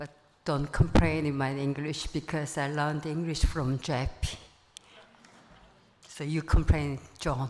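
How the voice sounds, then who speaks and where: A woman with a strong non-native accent speaks fairly slowly in a very deep, low pitch, her intonation monotone and flat, her loudness swinging widely, with long, frequent pauses. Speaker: friend of the deceased. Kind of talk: eulogy read from notes. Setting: memorial gathering in a full room.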